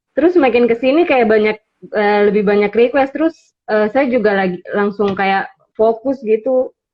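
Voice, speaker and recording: A woman's ordinary speaking voice, fairly high-pitched, with ordinary pitch variation and very even loudness. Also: moderate pace. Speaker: beauty content creator. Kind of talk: interview on livestream. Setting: Instagram live.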